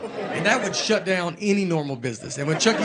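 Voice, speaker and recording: Crowd noise fills the background as a man speaks. His voice is high in pitch, with lively intonation. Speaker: stand-up comedian. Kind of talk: stand-up comedy storytelling to a live audience. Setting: live theater with audience.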